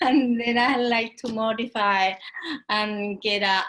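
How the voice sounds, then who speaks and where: With a strong Spanish accent, the speaker uses fairly even intonation and a bright, sharp tone. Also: woman. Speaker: real estate agent. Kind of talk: casual chat. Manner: halting.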